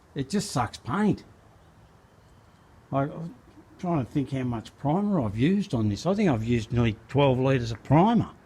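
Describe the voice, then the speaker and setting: A man's fairly high, dark and mellow voice, somewhat breathy, with very wide pitch swings, a moderate pace and long, frequent pauses. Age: 60s. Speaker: car restorer and spray painter. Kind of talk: casual workshop vlog narration. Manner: casual, halting with repeats.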